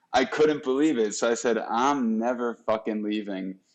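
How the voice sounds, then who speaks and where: A man with a New Jersey accent at a fairly slow pace, against a quiet background. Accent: New Jersey American. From US Northeast, New Jersey. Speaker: podcast host. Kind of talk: casual interview chat.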